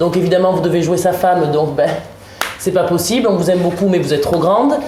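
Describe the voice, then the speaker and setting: A woman with a slight Marseille accent speaks at a fairly low pitch. Audible room echo and noticeable background noise surround her voice. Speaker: actress and stage director. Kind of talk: round-table discussion.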